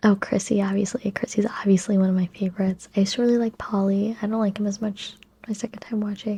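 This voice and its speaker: Soft-spoken and somewhat breathy, a woman talks in a calm, relaxed tone that is dark and mellow. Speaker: ASMR YouTuber. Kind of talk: soft-spoken ASMR movie and TV chat to camera. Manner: calm, soft-spoken, relaxed.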